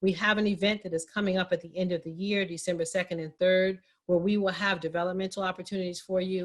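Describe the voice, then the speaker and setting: Her pitch medium and her intonation monotone and flat, a woman talks very fast with hardly any pauses and big swings in loudness. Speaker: minority business advocate, guest speaker. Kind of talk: town hall presentation.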